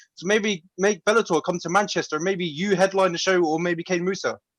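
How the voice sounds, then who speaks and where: With a southern English accent, a man speaks at a very fast pace and high pitch, showing ordinary pitch variation in a dry, close sound with no echo. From London, England. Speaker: interviewer. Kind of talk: press conference questions.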